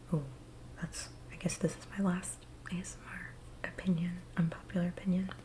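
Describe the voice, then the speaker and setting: Soft-spoken and fairly low in pitch, a woman talks at a moderate pace. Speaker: ASMR creator. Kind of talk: ASMR casual talk to camera.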